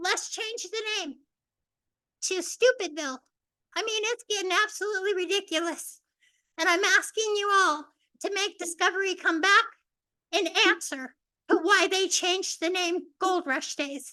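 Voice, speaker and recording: In a raised, projected voice, the speaker keeps a moderate pace and ordinary pitch variation, with long, frequent pauses. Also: woman, extremely high pitch for a woman. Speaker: public commenter. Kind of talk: public comment at council meeting.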